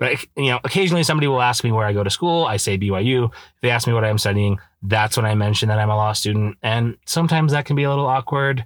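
Speaking very fast with an American accent, a man at medium pitch keeps his loudness very even and his pitch variation ordinary, in a very clean recording with a silent background. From Idaho, US. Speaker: law student podcaster. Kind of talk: casual solo podcast monologue. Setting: in a parked car. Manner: casual, with many fillers.

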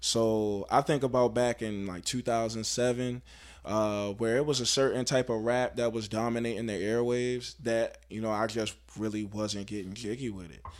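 With an American accent, a man speaks in a plain, everyday voice at a medium pitch and moderate pace, his intonation fairly even. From Baltimore, Maryland. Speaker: rapper. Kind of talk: casual interview.

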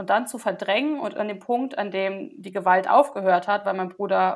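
A woman with a medium pitch and vocal fry speaks at a moderate pace with ordinary pitch variation, on a very clean recording with a silent background. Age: 20s. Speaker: social work student sharing trauma story. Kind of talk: testimony. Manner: hesitant, many filler sounds.

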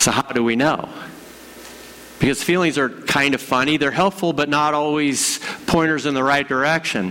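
A man speaks at a moderate pace with fairly high pitch, ordinary pitch variation and very even loudness, leaving long, frequent pauses over noticeable background noise. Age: 50s. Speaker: pastor. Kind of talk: sermon.

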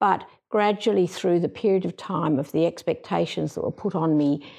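A woman speaks with an Australian accent at a moderate pace. The background is quiet. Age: 70s. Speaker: general practitioner. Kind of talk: casual group conversation.

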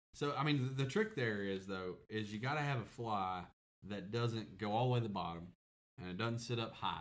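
Heard here is an ordinary speaking voice: a man with an American accent, a fairly low pitch and ordinary pitch variation. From US South. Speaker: podcast co-host. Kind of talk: casual chat.

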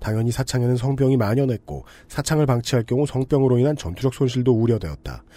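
A man speaks at a very fast pace in a medium pitch, his tone dark and mellow. His loudness stays very even on a very clean recording with a silent background. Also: ordinary pitch variation. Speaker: podcast host and producer. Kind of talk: casual discussion.

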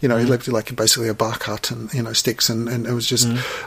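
Through noticeable background noise, a man speaks with an Australian accent. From Australia, Melbourne. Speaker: artist. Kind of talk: casual chat. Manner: halting.

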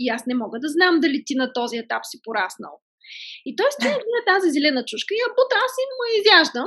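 A woman talks at a fairly quick pace with an extremely high pitch. Her tone is bright and sharp, with very wide pitch swings. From Bulgaria, Stara Zagora. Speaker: entrepreneur, cosmetics brand founder. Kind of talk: podcast interview.

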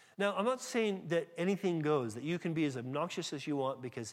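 With a slight American accent, a man talks at a very fast pace and with lively intonation. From California. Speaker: pastor. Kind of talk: sermon. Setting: church.

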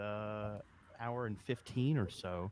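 Fairly low in pitch with ordinary pitch variation, a man talks in a plain, everyday voice. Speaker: podcast host. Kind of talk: casual chat. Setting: conference.

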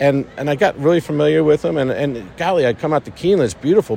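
Over noticeable background noise, a man with a New York accent speaks with lively intonation. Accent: New York American. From New York, Long Island. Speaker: orthopedic surgeon and medical director. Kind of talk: interview. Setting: racecourse.

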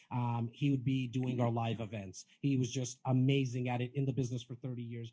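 At a fairly quick pace, a man speaks in a somewhat breathy voice of medium pitch. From Canada, Toronto (Rexdale). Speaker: real estate agent and podcaster. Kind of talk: panel interview at live event. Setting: live event with audience. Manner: animated.

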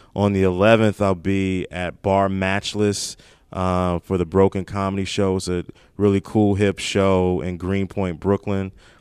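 A man with an American accent, a very deep, low pitch and monotone, flat intonation at a fairly slow pace, dry and close with no echo on a very clean recording with a silent background. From Maryland, Prince George's County (DC area). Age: 30s. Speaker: stand-up comedian. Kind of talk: casual chat. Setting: comedy club back room.

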